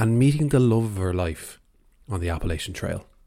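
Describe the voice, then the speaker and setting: On a very clean recording with a silent background, a man with an Irish accent talks at a fairly quick pace with ordinary pitch variation. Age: 20s. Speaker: podcast host. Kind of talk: scripted narration.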